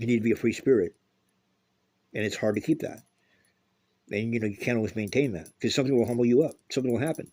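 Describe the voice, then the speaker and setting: A very fast man's voice, medium in pitch, dark and mellow in tone, broken by long, frequent pauses. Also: ordinary pitch variation. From US West Coast, Los Angeles. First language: Spanish. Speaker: political commentator. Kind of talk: casual opinion monologue. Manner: animated.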